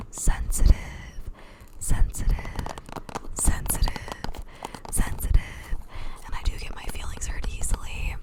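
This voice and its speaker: Noticeable background noise is present. Over it, a woman whispers. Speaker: ASMR creator. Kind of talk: ASMR whispered chitchat. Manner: whispered.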